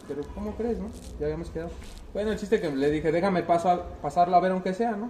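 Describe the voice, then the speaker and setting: Very fast, high-pitched male speech with ordinary pitch variation over noticeable background noise. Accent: central Mexican. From central Mexico. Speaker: car club member. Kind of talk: casual chat.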